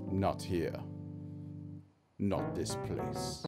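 Using a cartoonish character voice, a man speaks at a very slow pace over faint music in the background. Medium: puppet show. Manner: oily, formal, ominous.

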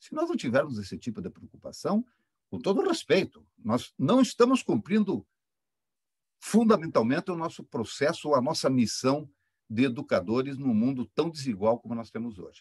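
With a fairly high pitch and very wide pitch swings, a man speaks in a somewhat breathy voice whose loudness swings a lot, recorded dry with no echo. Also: moderate pace, quiet background. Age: 60s. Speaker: engineering professor. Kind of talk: academic panel talk. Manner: impassioned. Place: home room. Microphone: webcam.

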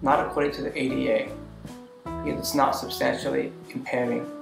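Noticeable background noise behind a man speaking at a fairly quick pace. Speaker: video blogger. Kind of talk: casual talk to camera. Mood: earnest, reflective. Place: home room.

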